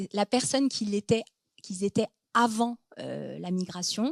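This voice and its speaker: In a very clean, dry, close recording with no echo and a silent background, a woman speaks fairly slowly at a fairly high pitch with ordinary pitch variation. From France (born in Lebanon, came as a baby). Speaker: psychologist and author. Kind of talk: Q&A after a book talk. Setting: conference hall with audience. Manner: hesitant, many fillers.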